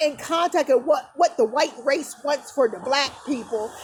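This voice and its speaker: A woman speaks loudly in an animated tone, with noticeable background noise behind her. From New Jersey, US. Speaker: vlogger. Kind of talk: rant.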